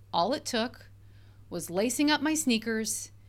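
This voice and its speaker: Upbeat female voice with vocal fry and lively intonation at a moderate pace, on a very clean recording with a silent background. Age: 40s. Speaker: life coach and podcast host. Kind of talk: solo podcast monologue. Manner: conversational, upbeat.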